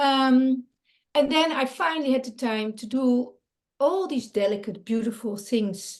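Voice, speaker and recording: A woman speaks with a non-native accent. Her voice sits at a high pitch. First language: Dutch. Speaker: creativity coach and artist. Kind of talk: interview. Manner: halting, many fillers.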